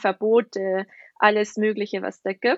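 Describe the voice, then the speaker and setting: A woman speaks with a slight Bavarian accent. Her intonation is monotone and flat, at a fairly slow pace. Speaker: ayurveda nutrition and health coach in training. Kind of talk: podcast interview.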